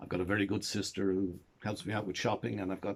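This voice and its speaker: In an Irish accent, a man talks at a fairly quick pace with flat, monotone intonation on a very clean recording with a silent background. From Ireland. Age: 70s. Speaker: storyteller. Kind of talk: casual monologue to camera. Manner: halting.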